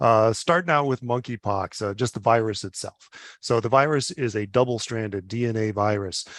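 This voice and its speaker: Dry and close with no echo, this man's voice sits at a medium pitch with ordinary pitch variation. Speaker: physician and public health official. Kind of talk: webinar presentation. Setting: webinar. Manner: fast; halting, many fillers.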